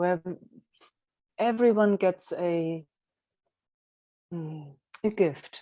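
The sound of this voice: This woman has a fairly low pitch and a dark, mellow tone. She speaks very slowly, with ordinary pitch variation.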